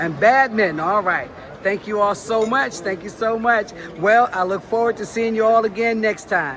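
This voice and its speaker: Noticeable background noise accompanies a woman who speaks at a moderate pace with a fairly high pitch and ordinary pitch variation. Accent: American. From New Jersey. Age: 60s. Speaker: sports talk show host. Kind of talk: casual interview. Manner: animated.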